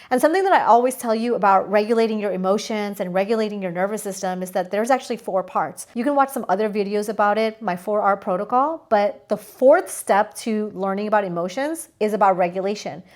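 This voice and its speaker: With a non-native accent, a woman talks very fast and hardly pauses, her tone animated. Her pitch is medium, with ordinary variation. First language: not English. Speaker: spiritual coach. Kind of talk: energy forecast talk to camera. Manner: casual, animated.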